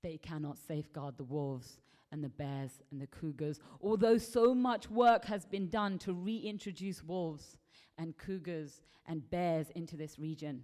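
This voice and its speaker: A fairly slow delivery in an English accent. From England. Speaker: conference speaker. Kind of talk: lecture.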